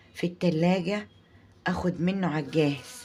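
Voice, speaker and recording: The speaker is a woman at medium pitch. She talks at a fairly slow pace with fairly even intonation. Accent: Egyptian. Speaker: home cooking channel host. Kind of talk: cooking tutorial. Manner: halting, many restarts.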